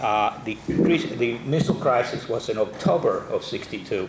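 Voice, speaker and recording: A man talks with a Spanish accent. Noticeable background noise is present. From Cuba, Havana, then Brooklyn New York from age 13. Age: 60s. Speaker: guest speaker. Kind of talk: talk to a men's club. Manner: hesitant, many fillers and repetitions.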